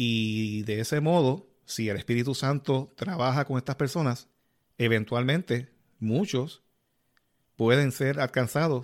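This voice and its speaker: A man uses a plain, everyday voice at medium pitch, with ordinary pitch variation and a fairly slow pace. The recording is very clean and the background silent. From Puerto Rico, Yabucoa. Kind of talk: casual religious interview.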